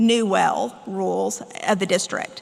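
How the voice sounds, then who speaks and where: A woman is talking. There is noticeable background noise. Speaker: water law attorney. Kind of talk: conference presentation. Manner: fast.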